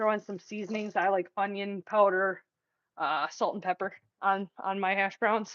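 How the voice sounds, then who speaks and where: There's a woman speaking at a medium pitch. The sound is dry and close, with no echo. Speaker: vlogger. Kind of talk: casual vlog chat. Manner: animated.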